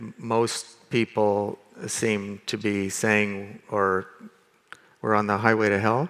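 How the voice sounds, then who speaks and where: With an American accent, a man speaks very slowly in a fairly low pitch. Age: 60s. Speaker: land rights expert and social innovator. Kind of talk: conference panel discussion. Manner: hesitant, with many fillers and restarts.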